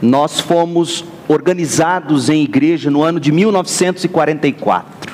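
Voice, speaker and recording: Over noticeable background noise, a man speaks at a moderate pace and a fairly high pitch, with fairly even intonation and very even loudness. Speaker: pastor. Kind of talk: sermon.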